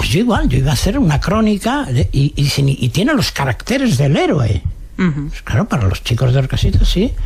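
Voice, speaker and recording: With noticeable background noise behind him, a man speaks at a fairly quick pace in a Madrid accent. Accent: Castilian Spanish (Madrid). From Madrid, Spain. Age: 80s+. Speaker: novelist. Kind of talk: radio interview answer.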